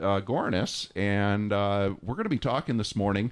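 A man speaks in an ordinary speaking voice at medium pitch. His pace is fairly slow. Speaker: radio station pledge drive host. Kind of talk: radio pledge drive announcing. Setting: radio studio. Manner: cheerful, laughs often.

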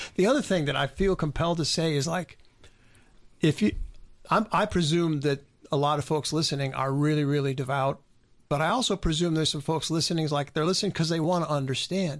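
An ordinary speaking voice from a man, fairly high in pitch, at a fairly quick pace with ordinary pitch variation and very even loudness, against a quiet background. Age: 50s. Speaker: radio co-host. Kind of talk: casual radio conversation. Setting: radio studio.

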